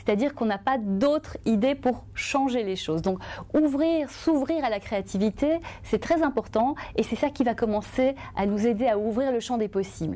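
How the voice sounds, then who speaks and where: Lively intonation runs through a dark, mellow tone. The pace is moderate. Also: woman. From Belgium. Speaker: journalist and author; journalist. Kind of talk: testimony. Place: studio. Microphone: lapel.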